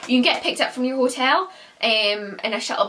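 This woman speaks at a fairly quick pace. Her intonation stays fairly even. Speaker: lifestyle vlogger. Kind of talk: casual vlog chat. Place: home room.

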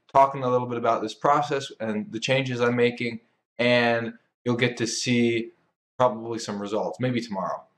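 This is a man speaking. He goes at a moderate pace. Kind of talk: casual engineering vlog. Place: workshop. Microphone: camera far.

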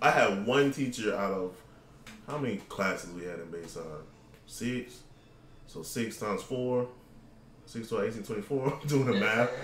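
An animated man with an American accent talks at a fairly slow pace with long, frequent pauses, ordinary pitch variation and big swings in loudness, amid audible room echo and light background noise. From Florida. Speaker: gaming podcast host. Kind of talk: casual chat. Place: home room.

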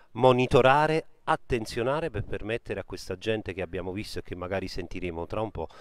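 Against a quiet background, the speech comes at a fairly quick pace with a dry sound and no echo. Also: man. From Campania, Italy. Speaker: web TV reporter. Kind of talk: on-location live report. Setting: outdoors on a beach.

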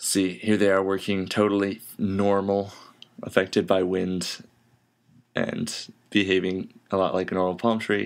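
A man speaks slowly-ish in a fairly low, monotone, flat voice, leaving long, frequent pauses. The recording is very clean with a silent background. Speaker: indie game developer. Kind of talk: casual devlog narration over gameplay.

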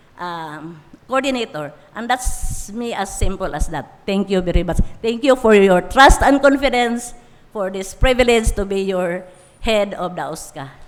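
A woman's medium-pitched voice at a fairly slow pace, lively intonation and audible room echo. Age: 70s. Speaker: senior citizens office head. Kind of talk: formal speech at council session. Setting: city council session hall.

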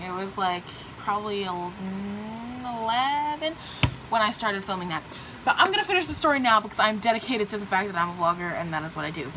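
A woman's voice with lively intonation over noticeable background noise. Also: fairly quick pace. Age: young. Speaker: vlogger. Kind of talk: casual talk to camera. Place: home room. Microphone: phone near.

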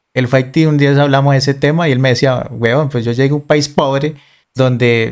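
In a very clean recording with a silent background, a man with a plain, everyday voice speaks at medium pitch with ordinary pitch variation. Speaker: video host and former soldier. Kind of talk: casual interview.

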